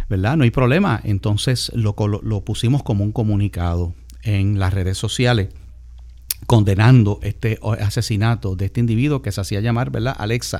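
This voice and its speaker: A man speaks at a moderate pace in a fairly low voice. His tone is dark and mellow, with ordinary pitch variation. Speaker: radio host and pastor. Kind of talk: radio talk show.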